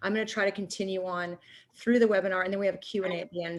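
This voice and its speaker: A woman at a very fast pace with a medium pitch. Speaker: nutrition coach and wellness entrepreneur. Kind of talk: webinar presentation. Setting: online meeting webinar.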